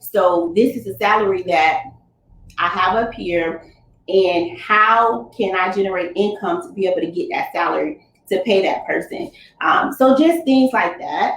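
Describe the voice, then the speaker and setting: With an American accent, a woman uses an ordinary speaking voice at medium pitch, with lively intonation and a fairly slow pace. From Fort Lauderdale, Florida, US. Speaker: Navy veteran, business owner and coach. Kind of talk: motivational talk at a virtual summit. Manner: casual, conversational.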